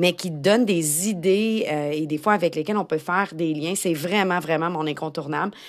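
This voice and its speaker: This speaker has a Quebec accent and ordinary pitch variation at a moderate pace. The recording is very clean, with a silent background. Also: woman. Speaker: podcast host, tech-savvy educator. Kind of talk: casual solo podcast monologue.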